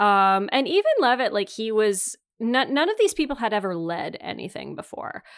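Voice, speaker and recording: A woman talks in a Canadian accent with very wide pitch swings. The recording is very clean, with a silent background. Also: fairly high pitch for a woman, moderate pace. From Northern Ontario, Canada. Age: 30s. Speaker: podcast host. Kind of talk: casual chat.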